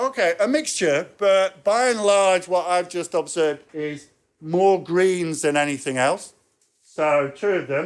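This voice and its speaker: The speech comes in an English accent at a fairly slow pace with ordinary pitch variation. The recording is very clean, with a silent background. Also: man, high pitch for a man. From England. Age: 60s. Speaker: professor. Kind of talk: lecture.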